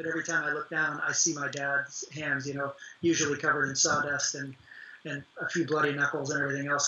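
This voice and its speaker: With an American accent, a man talks at a fairly quick pace in a fairly high, monotone voice over noticeable background noise. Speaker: actor and author. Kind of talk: interview.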